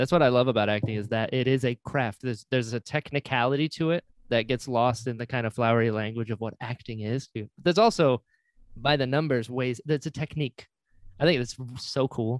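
Recorded dry and close with no echo, a man with an ordinary speaking voice talks at medium pitch and a fairly quick pace, with ordinary pitch variation. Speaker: podcast host. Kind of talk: casual chat. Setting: video call.

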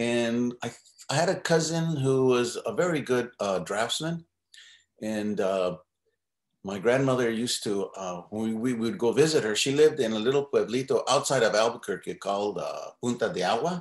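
Audible room echo surrounds a man whose medium-pitched voice carries lively intonation. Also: moderate pace, quiet background. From New Mexico. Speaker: artist and muralist. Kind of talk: interview. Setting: video call. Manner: halting. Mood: reminiscing, relaxed. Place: home room. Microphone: video call.

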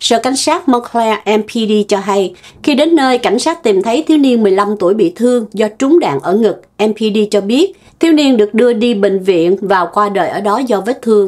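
A woman speaks in an ordinary speaking voice, fairly high in pitch, with lively intonation and very even loudness. Her pace is moderate, with hardly any pauses. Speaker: news show co-host. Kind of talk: news reading. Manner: formal.

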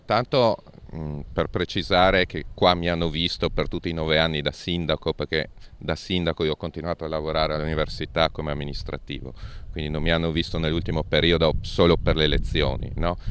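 Pitched very deep and low, a man speaks at a fairly quick pace with fairly even intonation and a dry sound with no echo. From Friuli-Venezia Giulia, Monfalcone area; Friuli-Venezia Giulia. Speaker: politician. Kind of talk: interview. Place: street. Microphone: handheld.

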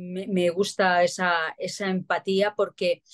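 A woman with a fairly low voice against a quiet background. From Spain, Barcelona. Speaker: actress and celebrity lookalike. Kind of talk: interview. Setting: remote interview. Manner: repetitive, halting. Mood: warm, grateful. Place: home room. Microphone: video call.

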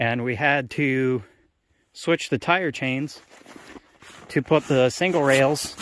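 Over light background noise, a man talks with fairly even intonation in a dry sound with no echo. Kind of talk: casual walkthrough commentary. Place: open country. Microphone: phone near.

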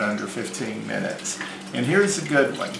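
Noticeable noise sits behind a man who talks at a moderate speed. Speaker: home cooking show host. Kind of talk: tutorial. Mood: relaxed, friendly. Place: home room.

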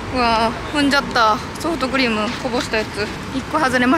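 A woman speaks at a fairly quick pace, the sound dry with no echo and the background noise noticeable. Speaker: vlogger. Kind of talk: casual vlog chat. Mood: cheerful, laughing. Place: street. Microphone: phone near.

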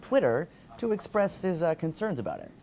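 With music in the background, a man speaks at a fairly quick pace. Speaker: video blog host. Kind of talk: news vlog commentary. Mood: lightly wry, engaged. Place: office.

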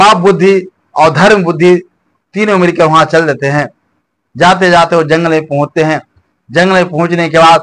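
A man with a high pitch, fairly even intonation and a fairly slow pace, with long, frequent pauses. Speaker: storyteller. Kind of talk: folk story narration. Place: home room.

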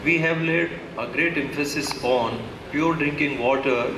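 Moderate pace over noticeable background noise. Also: man. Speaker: event announcer. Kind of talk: formal welcome address at official ceremony. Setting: public event hall with PA system. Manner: formal. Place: hall. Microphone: podium.

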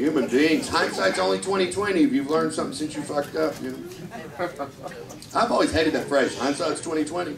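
Fairly high-pitched man with an American accent, lively intonation, noticeable background noise. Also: moderate pace. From Kentucky, US South. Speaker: stand-up comedian. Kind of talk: stand-up. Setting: stage with audience. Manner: animated. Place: stage.

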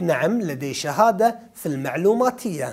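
The speaker has a Kuwaiti accent and very wide pitch swings. The pace is fairly slow over a quiet background. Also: man. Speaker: French teacher. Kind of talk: exam review lesson. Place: studio. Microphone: lapel.

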